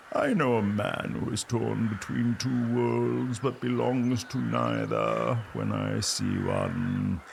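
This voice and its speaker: A man performs a put-on character voice at a fairly slow pace. His loudness stays very even, with clear background noise behind him. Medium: audio drama.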